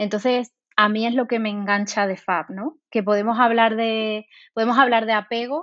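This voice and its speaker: Her voice is fairly high for a woman and her intonation is flat and monotone. She keeps a moderate pace. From Spain, Seville. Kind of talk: interview.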